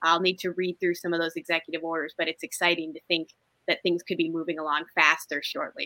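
A woman talks at a very fast pace in a bright, sharp tone with monotone, flat intonation and a dry, close sound with no echo. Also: fairly low pitch for a woman. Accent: Inland North US. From Ohio, Toledo. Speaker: state politics commentator. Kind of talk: casual interview.

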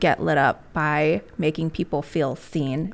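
A woman speaks at a very slow pace. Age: 30s. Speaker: podcast host and small business owner. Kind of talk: casual interview chat.

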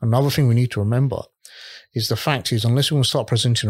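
A man talks at a very fast pace, somewhat breathy, at medium pitch with ordinary pitch variation. The recording is very clean, with a silent background. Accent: British. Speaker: historical tour guide. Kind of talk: podcast interview. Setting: studio.

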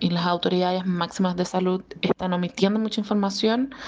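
A woman's medium-pitched voice with fairly even intonation and a strong Chilean accent. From Brazil. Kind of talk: voice message.

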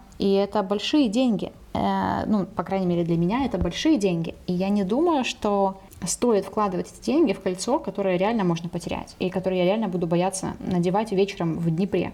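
A woman talks at a fairly quick pace. Her pitch varies in an ordinary way, and there is noticeable background noise. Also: medium pitch for a woman. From Ukraine, Dnipro. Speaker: podcast co-host, language editor. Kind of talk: casual chat.

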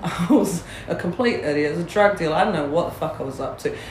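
A woman at a fairly low pitch and fairly quick pace, with noticeable background noise. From New Zealand (Māori, Porirua). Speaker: hunting guide and Māori community advocate. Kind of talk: casual chat. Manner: animated.

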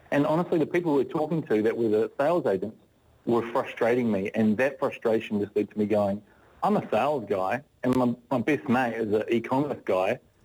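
A man with a New Zealand accent and a medium pitch speaks at a fairly quick pace with lively intonation and very even loudness. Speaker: business founder. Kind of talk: radio interview. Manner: halting.

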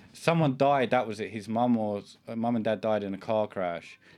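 A man with a British accent, fairly low in pitch, at a moderate pace with ordinary pitch variation. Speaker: podcast host. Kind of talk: casual banter podcast. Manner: rambling, talkative, profane.

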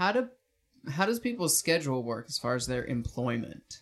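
Speaking at a moderate pace, this man lets his pitch swing very widely. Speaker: podcast host. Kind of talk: casual chat.

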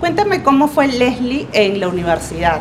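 With lively intonation, a woman speaks over noticeable background noise. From Lima, Peru. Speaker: program host. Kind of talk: interview.

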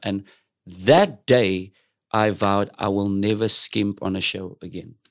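In a South African accent, a man speaks at a fairly low pitch on a very clean recording with a silent background. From South Africa, Cape Flats (Cape Town). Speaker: singer and entertainer. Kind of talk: casual interview chat.

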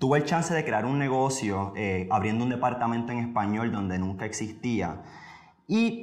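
Audible room echo surrounds a man speaking at a moderate pace with lively intonation. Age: 20s. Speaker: podcast host and motivational speaker. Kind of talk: motivational monologue.

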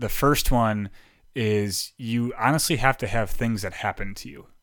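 A man with an ordinary speaking voice talks fairly slowly at a medium pitch. His pitch varies in an ordinary way. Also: big swings in loudness, very clean recording, silent background. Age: 30s. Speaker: motivational speaker. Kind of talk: casual chat.

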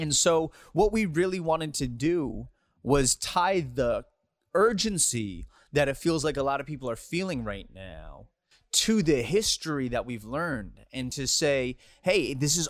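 A man with an American accent, in a normal speaking voice, talks at a fairly slow pace and a fairly high pitch with lively intonation, on a very clean recording with a silent background. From US, Chinese American. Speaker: hip hop artist and activist. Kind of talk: casual interview.

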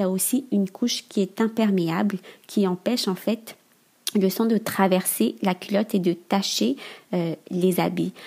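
The voice is somewhat breathy, with a dark, mellow tone. It moves at a fairly slow pace with ordinary pitch variation. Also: woman, medium pitch for a woman. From Madagascar. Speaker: entrepreneur. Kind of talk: interview. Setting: remote recording.

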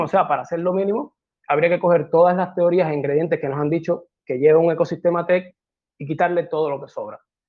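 A man with a high-pitched voice speaks at a fairly quick pace. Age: 30s. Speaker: tech entrepreneur. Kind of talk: talk presentation.

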